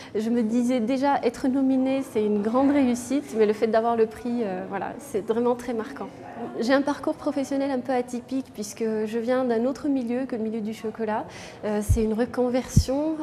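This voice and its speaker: A woman talks at a moderate pace in a high pitch, her intonation fairly even. Noticeable background noise runs underneath. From France, Bordeaux. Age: 30s. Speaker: chocolatier and business owner. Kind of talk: interview. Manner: hesitant, many fillers.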